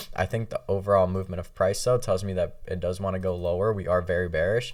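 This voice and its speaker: A man speaks at a fairly quick pace in a very clean recording with a silent background. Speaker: trading educator. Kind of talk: tutorial. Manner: fast; casual.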